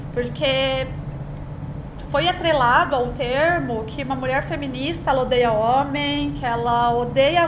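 A woman speaks at a high pitch with very wide swings in it, over noticeable background noise and with audible echo from the room. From Brazil, São Paulo. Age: 30s. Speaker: podcast co-host, content agency owner. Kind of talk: casual chat.

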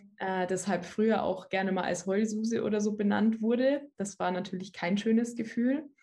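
A woman's somewhat breathy, dark, mellow tone at a medium pitch. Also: ordinary pitch variation, moderate pace. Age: 20s. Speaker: personal development coach. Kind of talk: casual interview chat.

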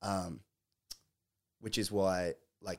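A man with an Australian accent speaks in a very deep, low voice with monotone, flat intonation. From Australia, Melbourne. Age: 20s. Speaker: college athlete and musician. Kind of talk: casual chat.

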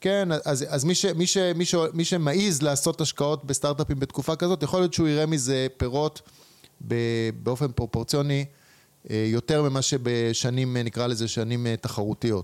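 Speaking in an unremarkable speaking voice, a man has a fairly high pitch, ordinary pitch variation, very even loudness and a moderate pace. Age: 40s. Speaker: entrepreneur and investor. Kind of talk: interview.

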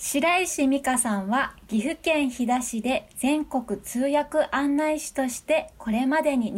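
Through noticeable background noise comes a woman's high-pitched voice with ordinary pitch variation. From Nagano, Japan. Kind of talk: casual interview chat. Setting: video call.

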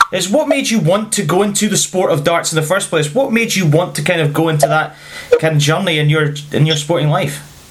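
Against noticeable background noise, a man with a high pitch speaks at a fairly quick pace. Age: 30s. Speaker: podcast host. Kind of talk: interview.

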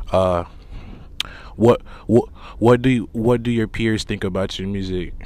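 A man speaks slowly-ish at a fairly low pitch, with a dark, mellow tone and fairly even intonation. Long pauses come often at this fairly slow pace. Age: young. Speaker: podcast host. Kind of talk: casual interview. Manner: halting, repetitive.

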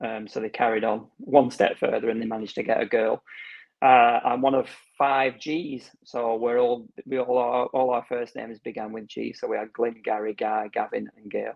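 A man talks with a Lancashire accent. His pace is moderate. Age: 50s. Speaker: heart failure patient educator and gardener. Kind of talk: casual interview.

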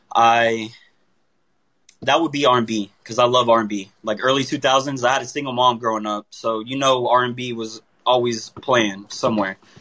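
With an American accent and a bright, sharp tone, a man speaks at a fairly slow pace with fairly even intonation and long, frequent pauses. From Tampa, Florida. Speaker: musician. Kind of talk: interview.

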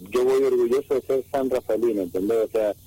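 Very fast speech from a man, with a dry, close sound and no echo. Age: 40s. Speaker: racing driver. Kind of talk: interview.

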